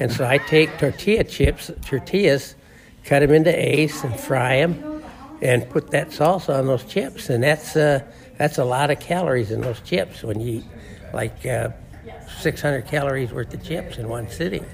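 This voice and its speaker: A man's fairly high voice, with ordinary pitch variation, moves at a moderate pace over noticeable background noise. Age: 80s+. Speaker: weight loss program client. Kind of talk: interview testimony. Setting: program weigh-in at the office.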